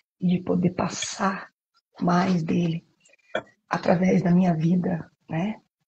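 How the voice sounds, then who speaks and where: A soft-spoken woman talks with a somewhat breathy, fairly low voice. Her intonation is monotone and flat. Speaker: preacher. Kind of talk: live stream sermon. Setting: live stream from home apartment.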